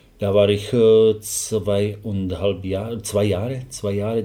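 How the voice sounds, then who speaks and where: A man's fairly low voice with a Slovak accent, dark and mellow in tone, somewhat breathy. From Slovakia. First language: Slovak (speaking German). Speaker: football assistant coach. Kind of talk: interview. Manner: halting.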